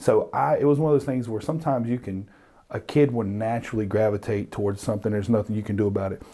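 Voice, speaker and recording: A man with an American accent at medium pitch, very fast in pace, with ordinary pitch variation. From North Carolina, small town. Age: 30s. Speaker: rapper and clothing brand owner. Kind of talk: casual interview.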